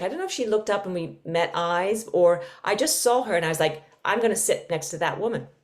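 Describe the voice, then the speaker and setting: A woman with a slight English accent, fairly low-pitched, very fast and lively in intonation. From London, England. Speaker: podcast co-host, yoga teacher. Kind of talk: casual chat.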